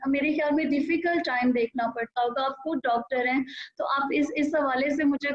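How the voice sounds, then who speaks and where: Her loudness stays very even throughout. The woman has a high pitch and fairly even intonation. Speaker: TV show anchor and host. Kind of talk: TV interview, host asking questions.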